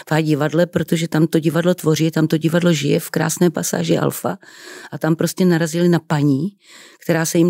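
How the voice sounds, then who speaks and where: A woman at a fairly quick pace in a monotone, flat intonation, with a dry sound and no echo. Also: quiet background. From Czech Republic, Moravia (Třebíč); Moravia, Czech Republic. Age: 60s. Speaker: actress. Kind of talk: interview. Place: studio. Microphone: studio mic.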